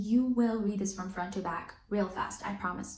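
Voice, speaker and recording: A woman's animated tone at a fairly slow pace, with audible room echo. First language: not English. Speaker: book reviewer. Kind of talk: casual chat.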